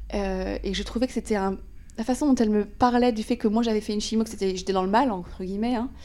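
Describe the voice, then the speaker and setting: Talking at a very fast pace, a woman with a fairly high pitch and a dark, mellow tone keeps a fairly even intonation. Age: 30s. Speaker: podcast host. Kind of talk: casual interview.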